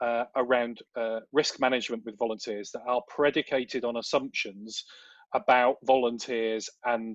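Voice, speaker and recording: A man with a British accent speaks at a medium pitch in a flat monotone. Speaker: volunteer management consultant. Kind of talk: webinar Q&A answer. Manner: fast.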